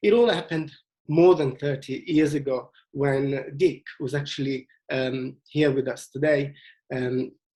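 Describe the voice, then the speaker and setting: A man talks fairly slowly in a fairly high, somewhat breathy voice with ordinary pitch variation. His tone is dark and mellow. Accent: Italian. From Italy, Venice. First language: Italian. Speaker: tour leader. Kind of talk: presentation. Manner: halting, many fillers.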